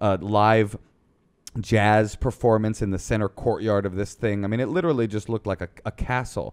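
An ordinary speaking voice: a man at a fairly low pitch and moderate pace, with fairly even intonation, against a quiet background. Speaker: podcast guest. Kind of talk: casual podcast conversation. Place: studio. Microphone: studio mic.

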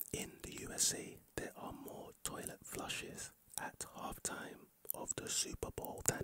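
A soft-spoken man whispers, the sound dry with no echo and light background noise behind him. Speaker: ASMR creator. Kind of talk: soft-spoken ASMR fact sharing. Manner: soft close-mic ASMR whisper. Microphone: studio mic.

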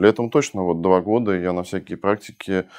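The background is quiet. A man talks at a fairly quick pace with a fairly low pitch. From Russia (early childhood in Budapest). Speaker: entrepreneur and investor; guest. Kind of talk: interview conversation. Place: studio. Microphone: lapel.

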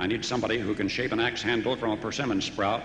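A man speaks at a fairly quick pace with a medium pitch and fairly even intonation. Noticeable background noise is present. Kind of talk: inspirational monologue reading.

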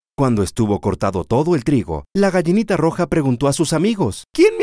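A man speaks in an animated, gentle tone at a moderate pace. The sound is dry and close, with no echo. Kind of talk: children's story reading, scripted narration. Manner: animated storyteller, gentle pacing; changes voice for each animal, with a repeated refrain.

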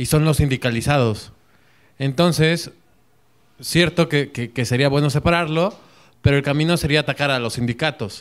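A man's fairly high-pitched voice in a Mexican accent, at a moderate pace with ordinary pitch variation and long, frequent pauses, over a quiet background. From Mexico. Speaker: audience member. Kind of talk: audience discussion. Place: classroom.

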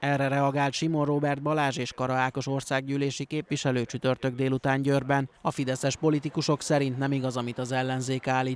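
A man talks at a fairly quick pace with hardly any pauses and monotone, flat intonation, the sound dry and close with no echo. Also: medium pitch for a man. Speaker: news reporter. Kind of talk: news reading.

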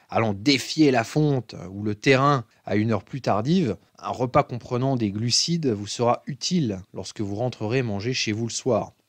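An ordinary speaking voice from a man at medium pitch, with lively intonation and a fairly slow pace, in a dry, close sound with no echo against a quiet background. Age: 20s. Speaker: fitness coach. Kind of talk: tutorial.

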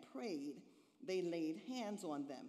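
Over a quiet background, a woman talks at a fairly slow pace in a dark, mellow tone, her pitch swinging very widely. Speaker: minister. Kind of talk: scripture reading in sermon. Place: church. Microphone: podium.

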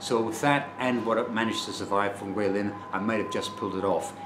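A man speaks at a fairly quick pace and fairly low pitch, his intonation fairly even, with noticeable background noise behind him. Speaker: travel vlogger. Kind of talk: casual vlog chat. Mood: rueful, disappointed. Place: home room. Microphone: phone near.

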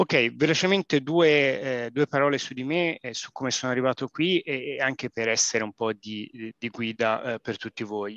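Spoken in a Florentine accent with ordinary pitch variation. The sound is dry with no echo against a quiet background. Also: man. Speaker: engineer. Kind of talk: webinar presentation. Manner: halting, many fillers. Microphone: video call.

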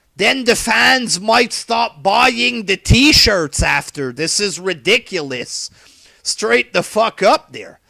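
Against a quiet background with a dry sound and no echo, a man uses a raised, projected voice at a high pitch, with a bright, sharp tone, lively intonation and a very slow pace. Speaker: wrestling commentary vlogger. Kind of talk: profane solo rant. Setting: home webcam recording. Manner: animated, profane. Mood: angry, exasperated ranting. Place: home room.

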